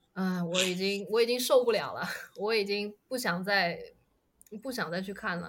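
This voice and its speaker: There is audible room echo around this voice. A woman speaks at a medium pitch. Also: ordinary pitch variation, moderate pace. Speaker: podcast guest. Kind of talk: casual chat.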